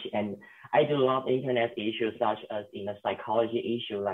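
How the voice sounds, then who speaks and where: The man's voice sits at a medium pitch. He keeps a moderate pace. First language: not English. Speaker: youth panelist. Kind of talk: panel discussion. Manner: hesitant.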